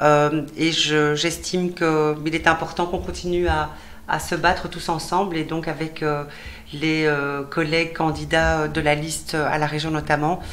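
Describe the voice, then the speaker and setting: In a room with audible echo, a woman with a very deep, low voice speaks at a fairly slow pace in a monotone, flat intonation. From Belgium, Brussels (Molenbeek). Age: 50s. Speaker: politician, election candidate. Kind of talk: TV interview. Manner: halting, many fillers.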